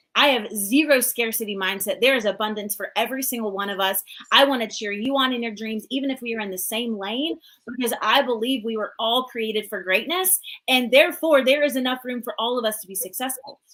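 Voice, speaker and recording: A woman with a slight Southern US accent speaks at a fairly quick pace in a fairly high, bright, sharp voice. Her tone is animated, and her pitch varies in an ordinary way. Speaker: business coach. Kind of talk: live coaching talk. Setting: live stream.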